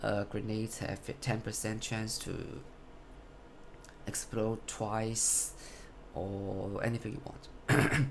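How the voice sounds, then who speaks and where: With a non-native accent and a fairly low pitch, a man speaks at a very slow pace with long, frequent pauses and monotone, flat intonation, amid audible room echo and noticeable background noise. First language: not English. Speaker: gamer showing a build. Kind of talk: game build tutorial. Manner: halting, self-correcting.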